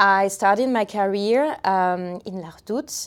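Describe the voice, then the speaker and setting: The speaker has a French accent and ordinary pitch variation. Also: woman. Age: 30s. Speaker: community manager. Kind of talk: interview. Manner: halting.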